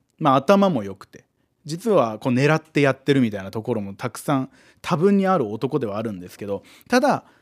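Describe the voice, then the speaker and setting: At a fairly quick pace, a man speaks in a medium pitch with very wide pitch swings on a very clean recording with a silent background. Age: 20s. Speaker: comedian. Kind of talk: casual chat.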